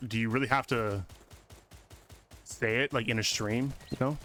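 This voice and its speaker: Loud and bright with a sharp tone, a man talks at medium pitch with ordinary pitch variation. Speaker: video game streamer. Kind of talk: casual live-stream chat. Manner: animated.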